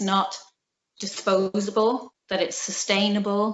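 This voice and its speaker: A woman is speaking. She has a Belfast accent. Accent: Belfast Northern Irish. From Northern Ireland, Belfast. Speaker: felt maker, small business owner. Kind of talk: interview.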